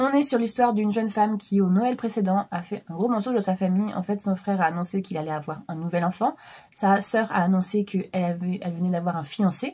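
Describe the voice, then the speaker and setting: Speaking at a very fast pace, a woman has a dark, mellow tone that is somewhat breathy. Her pitch sits in the medium range with ordinary variation. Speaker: book vlogger. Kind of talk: casual vlog book review. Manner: hesitant, many fillers.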